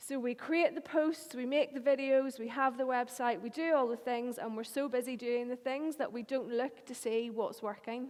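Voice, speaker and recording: Hardly pausing at all, a woman with a Northern Irish accent speaks at a high pitch with fairly even intonation. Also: moderate pace. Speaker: marketing agency owner. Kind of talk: conference talk.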